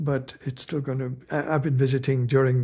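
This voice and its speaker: A man's medium-pitched, dark and mellow voice, somewhat breathy, at a moderate pace in a very clean recording with a silent background. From India. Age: 70s. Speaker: novelist. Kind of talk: interview.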